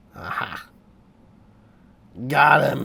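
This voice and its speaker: Noticeable background noise surrounds the speaker. A man talks in an animated tone. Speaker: sculptor and filmmaking hobbyist. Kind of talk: vlog tutorial. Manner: casual, animated.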